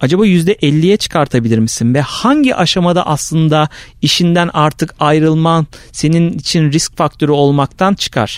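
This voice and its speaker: In an ordinary speaking voice, a man at a fairly high pitch talks at a moderate pace with ordinary pitch variation and very even loudness. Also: dry, close sound with no echo. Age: 30s. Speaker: marketing consultant. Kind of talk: casual chat.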